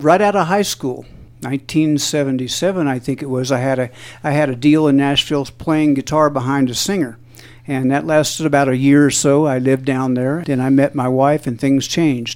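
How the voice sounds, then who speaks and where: A plain, everyday voice of a man with an American accent, fairly high in pitch, with fairly even intonation at a moderate pace. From southeast Missouri, US. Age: 60s. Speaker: musician. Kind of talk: interview.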